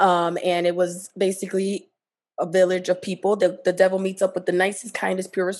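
This is a woman speaking. Her voice has a medium pitch. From Jersey City, New Jersey. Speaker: podcast co-host. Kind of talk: casual chat.

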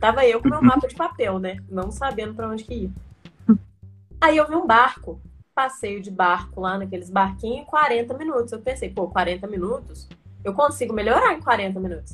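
A woman talks at a moderate pace in an animated tone, her loudness swinging widely. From Brazil, Minas Gerais. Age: 20s. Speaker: traveler. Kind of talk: casual interview.

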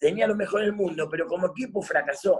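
A man talks at a fairly quick pace with a high pitch. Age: 50s. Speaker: former footballer and coach. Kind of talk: casual interview chat.

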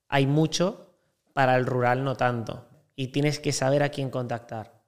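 Monotone, flat intonation from a man at medium pitch, at a moderate pace. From Spain, Valencia. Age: 20s. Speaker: hotel sales broker. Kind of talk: casual interview chat.

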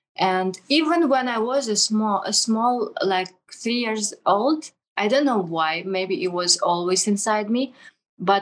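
Very slow speech from a woman, fairly high in pitch, with ordinary pitch variation. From Russia. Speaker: drift racer and online entrepreneur. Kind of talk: interview. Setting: video call. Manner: halting.

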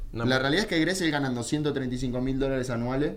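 A man with a medium-pitched voice is heard with audible room echo. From Argentina. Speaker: football radio show host and analyst. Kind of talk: casual sports talk radio. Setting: radio studio, live. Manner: animated.

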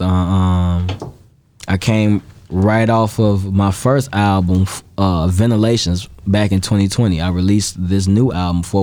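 Speaking at a very slow pace, a man uses a very deep, low pitch and fairly even intonation. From Chicago South Side (Gage Park). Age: 20s. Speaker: rapper. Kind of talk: interview.

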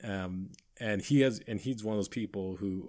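A man's fairly low voice with lively intonation, on a very clean recording against a silent background. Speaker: podcast co-host. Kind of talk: casual chat. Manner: filler-heavy, says 'like' a lot.

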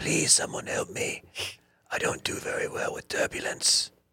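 This is a raspy, put-on character voice. It moves at a moderate pace. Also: man, extremely high pitch for a man. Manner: fearful, pleading.

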